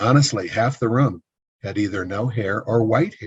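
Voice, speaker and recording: A man speaks at a fairly low pitch. His voice sounds somewhat breathy. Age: 60s. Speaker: business consultant, former building contractor. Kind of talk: interview.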